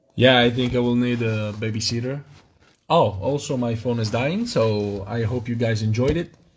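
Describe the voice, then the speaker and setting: With a non-native accent, a man talks at a medium pitch, sounding somewhat breathy and keeping his intonation fairly even. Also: moderate pace. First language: not English. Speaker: miniature wargaming hobbyist streamer. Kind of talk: live stream unboxing. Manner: halting, many fillers.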